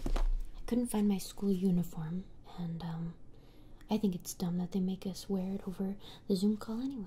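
A woman keeps a moderate pace and fairly even intonation while light background noise runs underneath. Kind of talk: casual roleplay chat. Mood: sulky, low-key. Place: home room.

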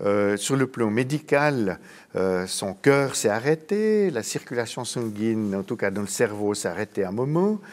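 Very slow male speech with pitch varying in an ordinary way. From French-speaking Switzerland. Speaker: psychiatrist and professor; professor. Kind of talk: interview. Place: studio.

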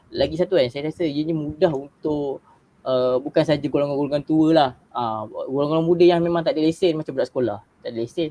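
A man talks very fast in a fairly high voice, with ordinary rises and falls in pitch. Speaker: university student. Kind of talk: casual chat. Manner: halting, many fillers.

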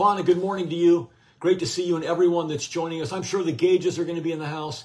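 A man speaks with a high pitch. His pace is very fast. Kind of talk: live-stream devotional greeting. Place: home room. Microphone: phone near.

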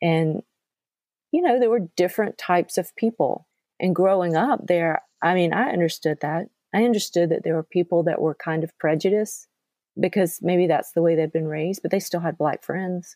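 A woman with a dark, mellow tone and a fairly low pitch speaks at a moderate pace with ordinary pitch variation, in a dry, close sound with no echo. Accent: Southern US. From US South, central Georgia. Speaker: podcast host. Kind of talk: casual chat.

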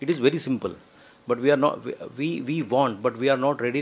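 A man talks at a very fast pace, his pitch showing ordinary variation. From India, small town. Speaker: film director. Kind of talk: press conference. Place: hall. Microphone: podium.

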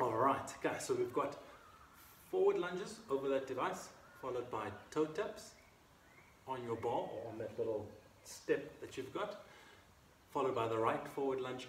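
A man talks at a moderate pace. The room echo is audible, with light background noise. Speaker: fitness instructor. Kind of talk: workout instruction. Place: garden. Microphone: camera far.

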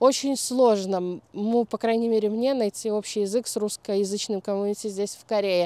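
Her dark, mellow tone comes at a moderate pace with ordinary pitch variation, and the woman's sound is dry and close with no echo. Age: 30s. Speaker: YouTube vlogger. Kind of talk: casual talk to camera.

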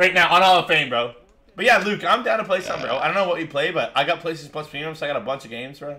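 A man speaks in a raised, projected voice. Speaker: gaming streamer. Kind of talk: live gameplay commentary. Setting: live stream. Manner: animated.

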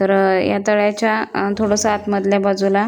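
With noticeable background noise behind her, a woman speaks at a medium pitch in a flat, monotone way. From Maharashtra, rural Pune district. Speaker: village vlogger. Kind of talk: travel vlog narration.

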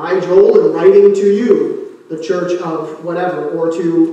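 There is strong room echo as a man speaks at a fairly slow pace. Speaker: pastor. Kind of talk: sermon. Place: church.

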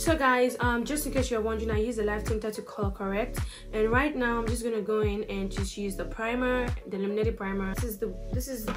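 The talk runs at a very fast pace with hardly any pauses. Clear music plays in the background. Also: woman. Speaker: beauty vlogger. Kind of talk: casual makeup review tutorial. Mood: upbeat, playful. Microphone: phone near.

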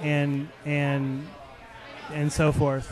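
A man with an American accent is heard over light background noise, the sound dry with no echo. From Arizona. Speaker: podcast host. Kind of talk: casual interview. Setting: live at a taproom. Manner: animated. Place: bar. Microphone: studio mic.

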